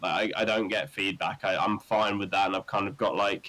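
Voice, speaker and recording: A man with an East Midlands accent at a fairly quick pace. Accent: English Midlands (Northamptonshire). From English Midlands, Northampton. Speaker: rock band singer. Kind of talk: podcast interview. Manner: casual, many fillers.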